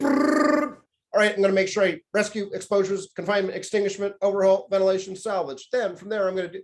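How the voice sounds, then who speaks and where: A man's put-on, robotic character voice, high-pitched, very fast and with hardly any pauses. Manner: rattling off a checklist.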